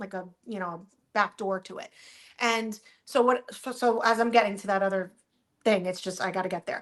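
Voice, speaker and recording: With an American accent, a woman speaks at a medium pitch with fairly even intonation, big swings in loudness, and long, frequent pauses. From New Jersey. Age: 40s. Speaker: social media influencer. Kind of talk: casual chat. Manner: fast, rambling with false starts.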